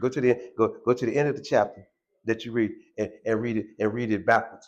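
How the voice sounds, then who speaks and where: Over a quiet background, a man at a medium pitch talks at a very fast pace with fairly even intonation. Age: 60s. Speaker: former car washer, formerly incarcerated. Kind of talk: interview testimony. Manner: halting, many repetitions.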